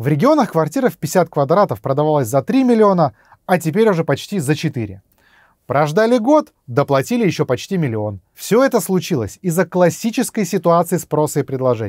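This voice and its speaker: Against a quiet background, a man's fairly high voice makes very wide pitch swings in a dry sound with no echo. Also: moderate pace. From Russia. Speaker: YouTube blogger on economics; political video blogger. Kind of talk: scripted narration. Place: studio.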